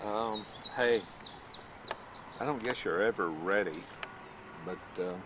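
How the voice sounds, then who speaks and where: Amid noticeable background noise, a man speaks at a fairly slow pace with a fairly low pitch, ordinary pitch variation, and long, frequent pauses. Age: 60s. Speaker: family video maker. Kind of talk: casual chat.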